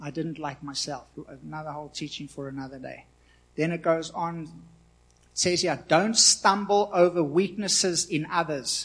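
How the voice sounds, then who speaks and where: A man with a normal speaking voice and a fairly high pitch speaks at a moderate pace, with ordinary pitch variation and big swings in loudness against a quiet background. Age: 40s. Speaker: pastor. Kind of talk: sermon. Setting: church.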